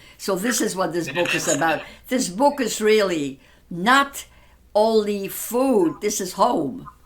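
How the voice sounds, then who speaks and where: A woman's very slow, lively-sounding speech over noticeable background noise. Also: medium pitch for a woman. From Poland. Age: 80s+. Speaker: Holocaust survivor. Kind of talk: podcast interview.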